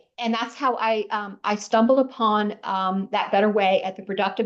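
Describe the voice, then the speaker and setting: A woman with an unremarkable speaking voice talks at a moderate pace and medium pitch, with ordinary pitch variation. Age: 60s. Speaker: professional organizer. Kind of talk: interview.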